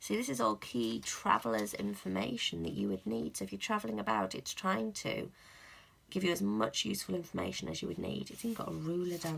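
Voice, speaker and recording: A woman with vocal fry talks at a fairly quick pace, her pitch swinging very widely. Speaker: planner vlogger. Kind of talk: unboxing video, casual talk to camera.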